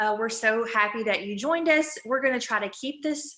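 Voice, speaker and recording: A woman speaks with an Alabama accent in a fairly high pitch, her tone bright and sharp, with ordinary pitch variation. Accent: Southern US (Alabama). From US South, Alabama. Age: 30s. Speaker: ketone product distributor. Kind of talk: sales pitch. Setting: group video call. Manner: animated.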